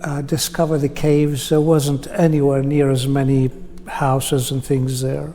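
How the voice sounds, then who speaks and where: Monotone, with flat intonation, the speech moves at a moderate pace over noticeable background noise. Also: man. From Palestine (Bethlehem) until 9, then Australia. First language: Arabic. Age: 70s. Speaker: interviewee sharing life story. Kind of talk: personal testimony in interview. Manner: hesitant, with many fillers.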